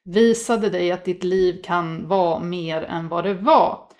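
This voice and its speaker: Against a quiet background, a woman speaks at a very slow pace. Her pitch varies in an ordinary way. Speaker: tarot reader. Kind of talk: tarot reading. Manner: halting.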